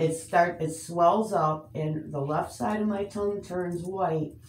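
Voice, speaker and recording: Audible room echo surrounds a woman who speaks at a fairly slow pace with ordinary pitch variation. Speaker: patient. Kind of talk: casual chat. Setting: doctor's office. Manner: halting.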